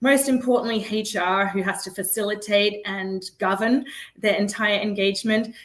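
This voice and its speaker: A woman with a non-native accent talks at a moderate pace, with a medium pitch and fairly even intonation. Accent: noticeable foreign. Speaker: startup founder and CEO. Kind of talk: interview. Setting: live video interview.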